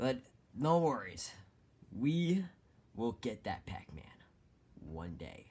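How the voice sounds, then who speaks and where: A raspy, put-on character voice moves at a fairly slow pace in a very clean recording with a silent background. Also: man. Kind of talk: comic overacting. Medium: cartoon. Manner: exasperated, bossy.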